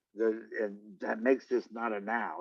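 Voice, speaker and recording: A man with an American accent, speaking at a fairly slow pace. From Los Angeles, US. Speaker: interviewer. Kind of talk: interview. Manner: halting, many repetitions.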